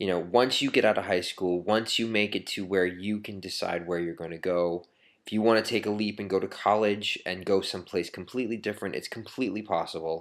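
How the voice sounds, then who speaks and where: A man with an American accent and a fairly low pitch talks fairly quickly with hardly any pauses and fairly even intonation. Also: very clean recording, silent background. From Maine, US. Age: 30s. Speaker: video blogger. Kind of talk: personal testimony to camera. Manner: halting, many fillers.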